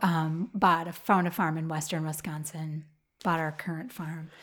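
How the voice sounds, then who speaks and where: Here a woman speaks in an Upper Midwest accent with a fairly low pitch. The recording is very clean, with a silent background. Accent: Upper Midwest American. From Minnesota, Twin Cities suburb. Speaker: flower farmer. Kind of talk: interview. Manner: halting, many fillers.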